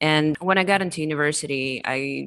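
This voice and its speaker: A woman with a non-native accent speaks in a very deep, low voice with a bright, sharp tone, vocal fry and ordinary pitch variation. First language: not English. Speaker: crypto marketing executive. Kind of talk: interview.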